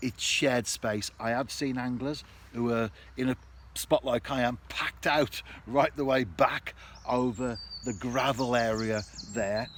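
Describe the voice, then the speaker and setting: Noticeable background noise surrounds a man speaking at a fairly slow pace in a medium pitch. His intonation stays fairly even, with long, frequent pauses. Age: 60s. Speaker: vlogger. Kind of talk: casual vlog monologue. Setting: outdoors.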